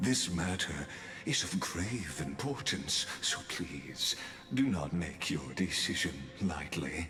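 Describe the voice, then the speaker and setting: Over clear background music, a man puts on a character voice with a very deep, low pitch, talking at a fairly slow pace. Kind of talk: formal literary speech. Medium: video game. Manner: measured, elegant, lecturing.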